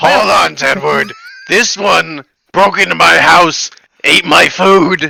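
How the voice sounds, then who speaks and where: A man speaks at a fairly slow pace in a put-on character voice, pitched high. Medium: actual play. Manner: dry, deadpan.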